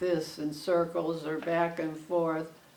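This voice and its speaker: A woman with fairly low pitch speaks at a fairly slow pace. Audible room echo and noticeable background noise are present. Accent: American. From Connecticut. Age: 90s. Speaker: retired fabric shop owner. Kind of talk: oral history interview. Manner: halting.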